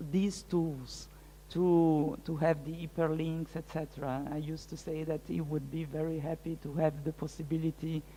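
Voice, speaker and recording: A woman speaks at a moderate pace with a dark, mellow tone. Her pitch is very deep and low. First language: French. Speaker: art curator and researcher. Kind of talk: lecture Q&A. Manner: halting, many hesitations.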